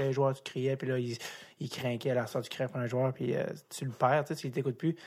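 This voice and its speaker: A medium-pitched man speaks fairly quickly on a very clean recording with a silent background. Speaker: podcast host. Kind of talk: interview. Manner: halting.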